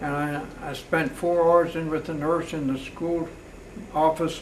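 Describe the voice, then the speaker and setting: Speaking with an American accent, a man uses a fairly high pitch and monotone, flat intonation. His fairly slow speech carries audible room echo. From US, Pennsylvania (Palmyra area). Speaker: retired mailman. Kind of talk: oral history interview. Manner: halting.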